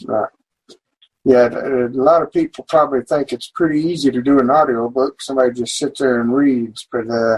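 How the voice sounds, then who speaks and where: A man speaks at a fairly quick pace with fairly even intonation. His medium pitch sounds dry and close, with no echo. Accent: strong Oklahoma. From Oklahoma. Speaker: podcast host and indie author. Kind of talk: interview.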